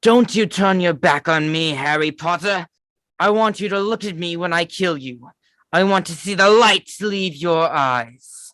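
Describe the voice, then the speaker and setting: Against a quiet background, a man uses a raspy, put-on character voice at a high pitch and a moderate pace. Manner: menacing, dark.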